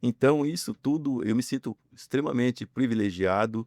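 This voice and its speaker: A man talks at a moderate pace and with ordinary pitch variation on a very clean recording where the background is silent. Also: dry, close sound with no echo. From interior of São Paulo state, Brazil. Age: 60s. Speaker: businessman. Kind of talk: interview testimony. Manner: halting, many fillers.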